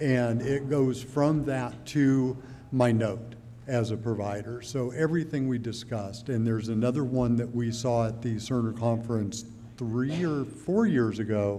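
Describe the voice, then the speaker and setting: A man speaks at a medium pitch and a moderate pace, with fairly even intonation. Audible room echo surrounds his voice. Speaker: healthcare provider, informaticist. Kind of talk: panel discussion. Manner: loud.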